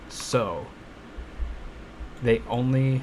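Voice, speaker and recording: An animated tone carries over noticeable background noise. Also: man. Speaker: gaming streamer. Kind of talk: live gameplay commentary. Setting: home, late at night. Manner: casual, animated; quiet, keeping voice low.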